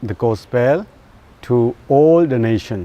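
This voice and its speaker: The speaker has a Burmese accent and lively intonation. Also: man. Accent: Burmese (Zo) accent in English. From Myanmar. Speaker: pastor. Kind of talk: personal testimony. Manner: halting.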